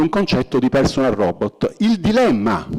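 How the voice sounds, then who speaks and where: At a moderate pace, a man talks as his pitch swings very widely. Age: 60s. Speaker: robotics professor. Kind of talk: public lecture.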